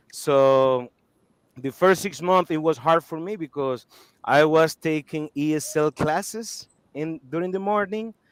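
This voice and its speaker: A man with a non-native accent talks at a fairly slow pace in a fairly high pitch, with ordinary pitch variation. The sound is dry and close, with no echo. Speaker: cigar company spokesperson. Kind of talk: interview, life story. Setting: live video stream. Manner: animated.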